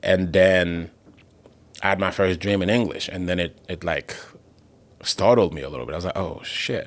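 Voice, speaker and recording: The speaker talks with a Haitian accent and leaves long, frequent pauses. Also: man, very deep, low pitch for a man, ordinary pitch variation, moderate pace. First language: Haitian Creole. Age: 20s. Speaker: comedian. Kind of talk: casual chat.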